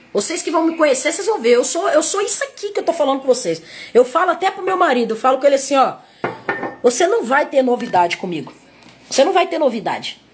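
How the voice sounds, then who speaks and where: Very wide pitch swings at a very fast pace over noticeable background noise. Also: woman, high pitch for a woman. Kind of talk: sermon. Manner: repetitive, halting.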